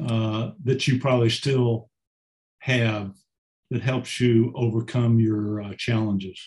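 Speaking very slowly, a man with a medium pitch keeps a monotone, flat intonation in a somewhat breathy voice. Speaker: audience participant. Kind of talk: question from audience.

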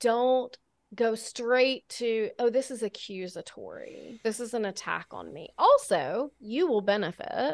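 In a very clean recording with a silent background, a woman speaks in a high pitch. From Alabama. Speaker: author and sobriety coach. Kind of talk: interview conversation.

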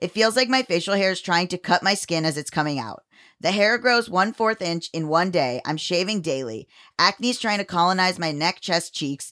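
Using an ordinary speaking voice, a woman with a medium pitch and lively intonation speaks at a moderate pace in a very clean recording with a silent background and a dry, close sound with no echo. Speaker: podcast co-host, writer and filmmaker. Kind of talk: casual chat.

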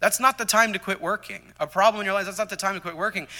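Bright, sharp tone in a man's raised, projected voice. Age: 30s. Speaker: Sunday school teacher. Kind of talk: sermon. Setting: church. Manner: halting.

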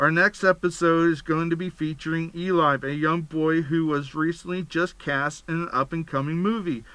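A man with an American accent talks at a moderate pace in a high voice with a bright, sharp tone. The recording is very clean, with a silent background. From Pennsylvania. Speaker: podcast host. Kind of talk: podcast monologue. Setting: studio.

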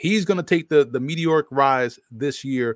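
With an American accent, a man with a plain, everyday voice and a fairly high pitch talks at a moderate pace, in a dry, close sound with no echo on a very clean recording with a silent background. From New Orleans, US South. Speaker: football analyst and broadcaster. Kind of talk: casual sports talk.

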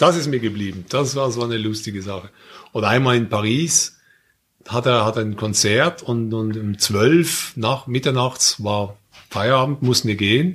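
A man with an unremarkable speaking voice, medium pitch, ordinary pitch variation and a fairly slow pace. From Switzerland, Basel. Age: 50s. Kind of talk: casual chat.

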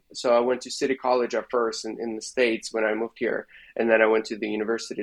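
A man talking at a very fast pace. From Belarus. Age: 30s. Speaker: videographer. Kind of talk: interview conversation. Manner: halting, many fillers.

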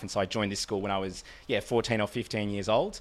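Flat and monotone, a man with an Australian accent speaks at a fairly low pitch. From Australia, Melbourne eastern suburbs. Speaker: podcast guest. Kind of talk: casual chat. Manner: musical, charismatic delivery.

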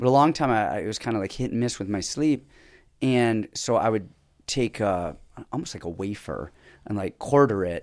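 The recording is very clean, with a silent background. A man with an unremarkable speaking voice talks at medium pitch with lively intonation. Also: moderate pace. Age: 40s. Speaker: MMA coach and former pro fighter. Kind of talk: casual chat.

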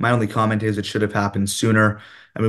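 The background is quiet. A man speaks with a fairly low pitch. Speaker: city councillor. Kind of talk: interview.

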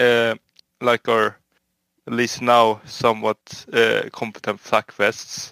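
The recording is very clean, with a silent background. A man speaks very slowly in a monotone, flat intonation and a bright, sharp tone. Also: medium pitch for a man, dry, close sound with no echo. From Sweden. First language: Swedish. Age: 20s. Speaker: home guard soldier. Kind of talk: casual interview.

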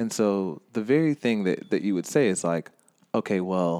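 The man's intonation is lively, and he uses a normal speaking voice. His pace is moderate. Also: very clean recording, silent background. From US South, Georgia (Stone Mountain near Atlanta). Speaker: anti-racist educator, writer and activist. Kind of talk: casual interview. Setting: studio.

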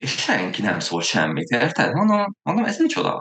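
The man's delivery is fairly slow. His pitch rises and falls very widely. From Hungary, Veszprém. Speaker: amateur triathlete, podcast co-host. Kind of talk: casual chat.

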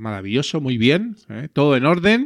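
Speaking with a Spanish accent, a man moves at a moderate pace, his pitch swinging very widely. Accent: Peninsular Spanish. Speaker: podcast host. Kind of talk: casual chat. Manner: animated.

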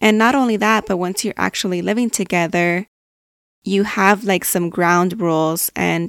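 In a Californian accent, a woman speaks with ordinary pitch variation, the sound dry and close with no echo. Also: very clean recording, silent background. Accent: Californian American English. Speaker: podcast host. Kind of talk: casual personal monologue.

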